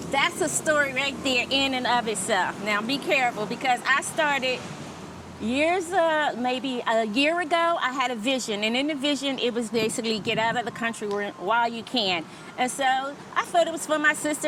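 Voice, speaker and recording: A woman with an American accent speaks at a high pitch and moderate pace with lively intonation, against noticeable background noise. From New Jersey, US (Trenton). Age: 50s. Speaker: expat interviewee. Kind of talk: casual interview.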